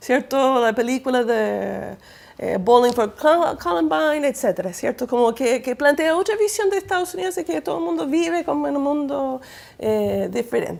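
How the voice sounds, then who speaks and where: Very wide pitch swings in a woman's high voice, delivered at a moderate pace. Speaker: academic speaker on citizen participation. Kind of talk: panel talk. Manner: hesitant, many fillers.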